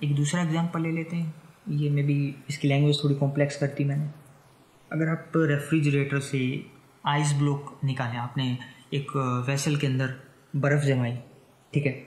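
The speech is monotone and flat, somewhat breathy in quality. Long pauses come often. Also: man, fairly high pitch for a man. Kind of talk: educational science podcast talk. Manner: unscripted, some stammering.

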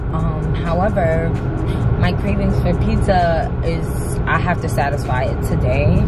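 A woman's voice sounds dry with no echo, with music in the background. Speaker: vlogger. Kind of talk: casual vlog chat. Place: car. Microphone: phone near.

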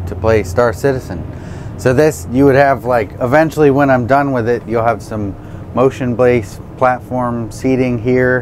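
Light background noise sits under speech with ordinary pitch variation. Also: man. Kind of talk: interview answer. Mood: enthusiastic, relaxed. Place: bus. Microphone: lapel.

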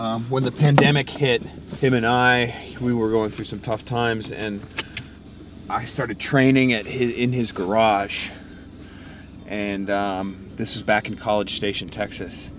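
A man is heard in a dry recording with no echo and noticeable background noise. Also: fairly slow pace. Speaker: fitness coach vlogger. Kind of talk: casual vlog chat. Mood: reflective, excited. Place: car.

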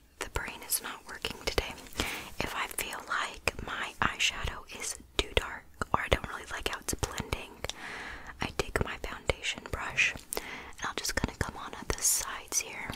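At a moderate pace, a woman speaks in a whisper. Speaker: beauty vlogger. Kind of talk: casual makeup tutorial chat. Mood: relaxed, self-deprecating.

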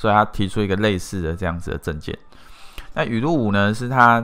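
A man's very deep, low pitch with a bright, sharp tone. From Taiwan, Pingtung. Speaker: marketing company CEO, YouTuber. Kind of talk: video monologue. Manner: casual, filler-heavy.

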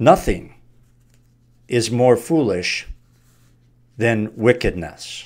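Against a quiet background, a man at a medium pitch talks at a very slow pace with long, frequent pauses. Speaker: Bible teacher. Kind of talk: Bible study teaching. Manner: casual. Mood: earnest, preaching. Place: home room. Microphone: studio mic.

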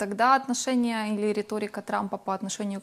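Her intonation is monotone and flat. The woman talks at a fairly quick pace. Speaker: TV host. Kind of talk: studio TV interview. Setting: TV studio. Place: studio. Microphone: lapel.

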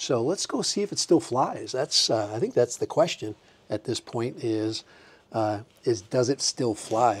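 The pace is moderate as this man speaks. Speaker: hobbyist reviewer. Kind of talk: casual tutorial vlog chat. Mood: cheerful, amused. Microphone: lapel.

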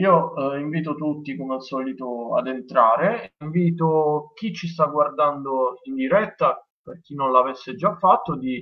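A man speaks at a fairly slow pace with ordinary pitch variation and big swings in loudness against a quiet background. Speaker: host of a live-streamed show. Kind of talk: host introduction. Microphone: headset.

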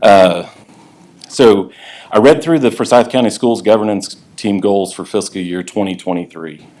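The speaker is a man with a fairly low pitch. He talks at a moderate pace. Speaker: parent public commenter. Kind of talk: public comment at board meeting. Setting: public meeting with microphone. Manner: halting, many fillers.

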